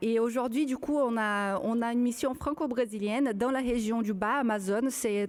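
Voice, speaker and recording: A woman speaks with a Brazilian accent at a fairly high pitch and a fairly slow pace, with ordinary pitch variation and hardly any pauses, on a very clean recording with a silent background. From Brazil, São Paulo countryside. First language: Portuguese (speaking French). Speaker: archaeologist. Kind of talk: public panel discussion. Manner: halting, many hesitations.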